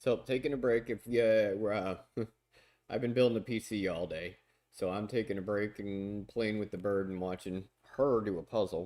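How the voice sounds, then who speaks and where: On a very clean recording with a silent background, a man speaks with a fairly low pitch and a dark, mellow tone. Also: fairly even intonation, moderate pace. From US South. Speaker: streamer and music producer. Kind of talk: casual livestream chat.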